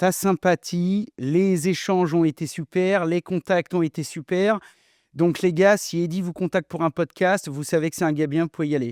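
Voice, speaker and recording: A man speaks at a high pitch and a moderate pace with fairly even intonation. The sound is dry and close with no echo, in a very clean recording with a silent background. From France, rural countryside. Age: 40s. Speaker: plumber and TV presenter. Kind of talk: podcast interview. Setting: warehouse. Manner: casual, hesitant fillers.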